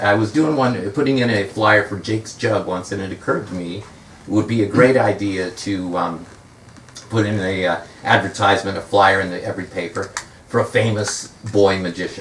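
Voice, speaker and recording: A man with an American accent at a fairly low pitch and fairly quick pace, with ordinary pitch variation amid noticeable background noise. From US West Coast, San Fernando Valley, California. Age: 60s. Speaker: magician and author. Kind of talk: book talk with anecdotes. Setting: bookstore event with audience. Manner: hesitant, many fillers (uh, um).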